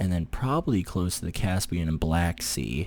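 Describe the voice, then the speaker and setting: Soft-spoken and very deep, a man speaks with lively intonation. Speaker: gaming youtuber. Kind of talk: gameplay commentary. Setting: home recording, girlfriend sleeping nearby. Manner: casual. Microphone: very close to the microphone.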